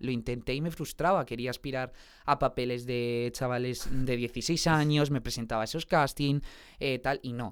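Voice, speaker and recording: A man with an unremarkable speaking voice, medium pitch, fairly even intonation and a moderate pace. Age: 20s. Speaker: singer and musical theatre actor. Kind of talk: casual interview chat.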